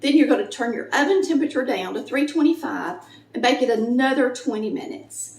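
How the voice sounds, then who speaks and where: Noticeable background noise surrounds a woman with a Southern US accent speaking at a fairly quick pace. Her voice is high and her pitch swings very widely. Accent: Southern US (Georgia). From Polk County, Georgia, USA. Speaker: home cook, cooking channel host. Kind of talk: cooking tutorial talk to camera.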